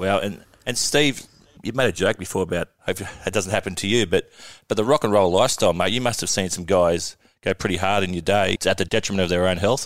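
Very fast speech comes from a man with an Australian accent, pitched fairly low with ordinary variation. The recording is very clean, over a silent background. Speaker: podcast host, cricketer. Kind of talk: show intro; casual chat.

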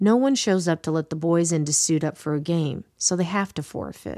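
A woman with an American accent, a plain, everyday voice, fairly low pitch, lively intonation and moderate pace, in a very clean recording with a silent background. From Washington DC. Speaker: podcast host and storyteller. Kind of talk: scripted narration.

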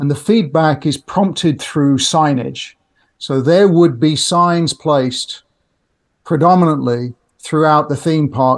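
Speaking at a fairly slow pace with a British accent, a man uses a fairly high pitch and ordinary pitch variation. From UK. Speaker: customer experience tech entrepreneur. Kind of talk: podcast interview.

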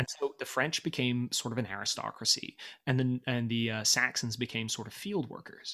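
A man speaks in an American accent at a moderate pace and medium pitch. His tone is bright and sharp, with ordinary pitch variation. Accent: sounds American. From Britain. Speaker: podcast host. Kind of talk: casual chat. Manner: animated.

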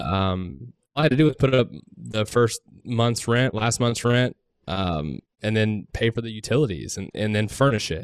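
In an ordinary speaking voice, a man talks at a moderate pace and fairly low pitch with lively intonation, the sound dry and close with no echo. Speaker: short term rental investor. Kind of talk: casual round table chat.

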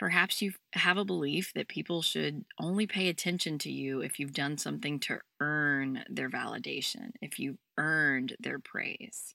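A woman speaks with a very deep, low pitch, a bright, sharp tone and vocal fry. The sound is dry and close with no echo, and the recording is very clean with a silent background. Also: moderate pace. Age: 30s. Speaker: podcast host, self-help coach. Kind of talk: solo self-help podcast talk. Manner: warm, gentle.

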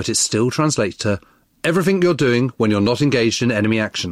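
In a very clean recording with a silent background, a man speaks with big pitch swings.

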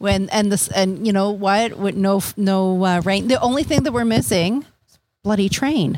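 With a normal speaking voice, a woman keeps a moderate pace at a medium pitch, her pitch varying in an ordinary way. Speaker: podcast co-host. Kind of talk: casual chat. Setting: outdoors on a deck.

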